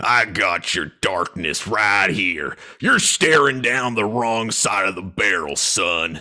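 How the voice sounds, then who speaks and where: A man speaks in a put-on character voice that is raspy and fairly low-pitched, at a fairly slow pace. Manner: tough, menacing.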